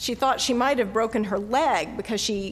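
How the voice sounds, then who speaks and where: With a Southern US accent, a woman speaks at a fairly high pitch with ordinary pitch variation. There is audible room echo. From US South, North Carolina. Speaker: pastor. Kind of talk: sermon.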